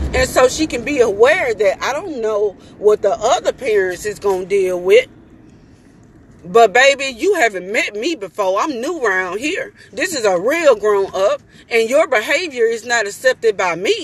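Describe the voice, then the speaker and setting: Loud and animated, a woman with a fairly high pitch speaks at a moderate pace, her pitch swinging very widely. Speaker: mother. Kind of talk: vlog rant.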